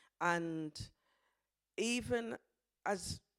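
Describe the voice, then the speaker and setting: On a very clean recording with a silent background, a woman speaks at a fairly low pitch with a Birmingham accent. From Birmingham, England. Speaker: dance practitioner. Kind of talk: presentation talk.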